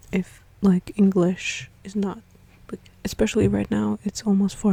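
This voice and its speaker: Moderate pace, with noticeable background noise. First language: not English. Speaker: gaming streamer. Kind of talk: game playthrough with commentary. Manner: casual, chatty.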